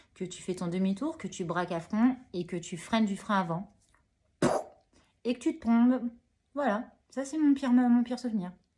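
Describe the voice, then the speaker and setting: At a moderate pace, a woman speaks with lively intonation and a somewhat breathy voice, leaving long, frequent pauses. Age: 30s. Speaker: hospital worker and new motorcyclist. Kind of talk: interview. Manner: hesitant, many fillers.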